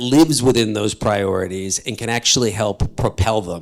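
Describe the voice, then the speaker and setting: The fairly quick speech carries fairly even intonation in a very clean recording over a silent background. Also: man. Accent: New York. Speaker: panel moderator. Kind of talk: panel discussion. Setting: stage with audience.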